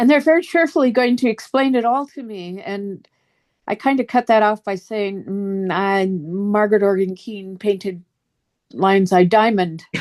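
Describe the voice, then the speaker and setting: A woman with a plain, everyday voice speaks at a moderate pace and medium pitch, with lively intonation and big swings in loudness. The background is quiet. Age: 60s. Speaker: fantasy card game artist. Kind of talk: interview.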